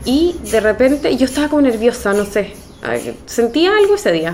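Over noticeable background noise, a woman speaks fairly slowly with lively intonation. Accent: Chilean. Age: 30s. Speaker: nurse. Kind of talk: interview testimony. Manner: halting.

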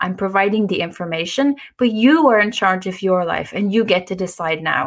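Medium-pitched woman's voice with an Irish accent and ordinary pitch variation. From Ireland. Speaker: nutrition author. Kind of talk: interview.

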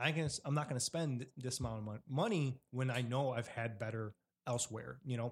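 A man talks at a moderate pace, his voice somewhat breathy and his intonation fairly even. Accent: Chicago. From Chicago Southwest side. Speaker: podcast host. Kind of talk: casual interview. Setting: home kitchen.

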